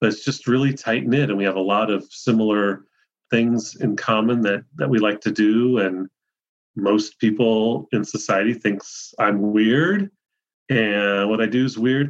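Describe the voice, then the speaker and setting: A plain, everyday voice with an American accent holds a fairly even intonation. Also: man, fairly low pitch for a man, fairly slow pace. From Ohio. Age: 50s. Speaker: mycologist and magazine editor. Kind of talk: interview.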